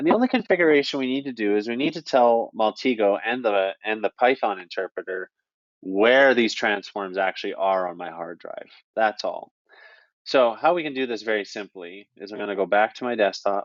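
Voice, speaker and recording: A man with a Canadian accent has an unremarkable speaking voice at medium pitch. He talks at a fairly quick pace with ordinary pitch variation. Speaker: software trainer. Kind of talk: tutorial. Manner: casual.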